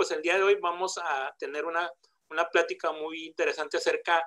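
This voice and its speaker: Bright, sharp tone at a fairly quick pace, with monotone, flat intonation over a quiet background. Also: man. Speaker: seminar host, moderator. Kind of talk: formal introduction of a guest speaker. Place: home room. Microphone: video call.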